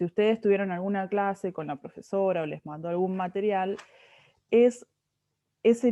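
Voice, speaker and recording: In a plain, everyday voice, a woman speaks at a moderate pace. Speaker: chemistry tutor. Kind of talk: tutoring lesson.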